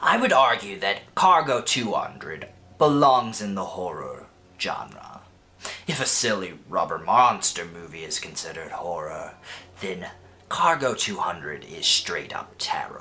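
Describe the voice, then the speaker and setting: In a put-on character voice, a man talks at a moderate pace with a medium pitch. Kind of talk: casual video essay narration. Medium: comedy sketch. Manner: casual, lightly sarcastic.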